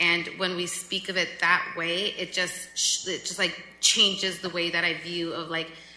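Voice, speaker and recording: Speech moves at a moderate pace. Noticeable background noise and audible room echo fill the recording. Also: woman. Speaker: city council member. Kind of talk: public meeting remarks. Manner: loud; animated.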